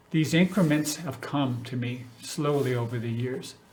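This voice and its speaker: A man talks with an American accent and fairly even intonation. Room echo is audible. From Northern California, US. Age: 70s. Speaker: city council member. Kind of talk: personal address to community. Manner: halting.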